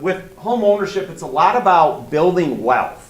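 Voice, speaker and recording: A man's voice carries audible room echo. Noticeable background noise is also present. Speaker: mortgage loan officer. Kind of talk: seminar talk. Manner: loud.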